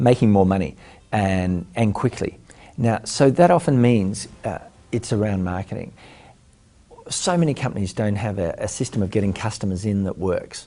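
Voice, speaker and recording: A man's fairly low voice with an Australian accent, at a moderate pace and with ordinary pitch variation. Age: 40s. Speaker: entrepreneur and business mentor. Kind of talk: interview answers. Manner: hesitant with frequent fillers.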